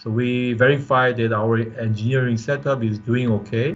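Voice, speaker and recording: A man speaks with music playing in the background. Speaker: professor. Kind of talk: lecture. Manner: halting.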